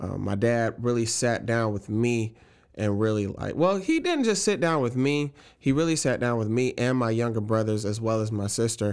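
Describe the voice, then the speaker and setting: A man's voice sits at a medium pitch, moving at a moderate pace with ordinary pitch variation. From Jacksonville, Florida. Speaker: church band director and worship musician. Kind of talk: casual chat.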